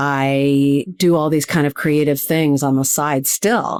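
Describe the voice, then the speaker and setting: Recorded with a dry, close sound and no echo, a woman with a Midwestern American accent speaks at a fairly slow pace. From US Midwest, Cleveland, Ohio. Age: 60s. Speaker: TV producer and speaker. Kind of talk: podcast interview.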